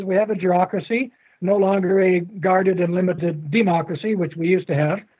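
This man speaks with a Canadian accent at a fairly quick pace and a high pitch. His loudness stays very even, with ordinary pitch variation. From Canada. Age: 70s. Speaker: author and academic. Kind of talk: interview. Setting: video call.

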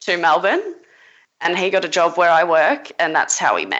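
Here a woman speaks with an Australian accent. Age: 20s. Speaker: caller. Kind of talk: call-in advice conversation.

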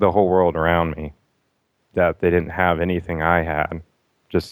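A man speaks at a moderate pace in a very deep, low pitch. His intonation stays monotone and flat. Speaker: caller. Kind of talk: casual chat.

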